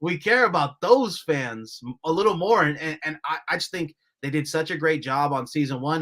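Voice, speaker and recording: A man with a fairly high pitch speaks at a moderate pace. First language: Spanish (bilingual). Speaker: soccer journalist. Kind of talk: casual podcast chat. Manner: animated.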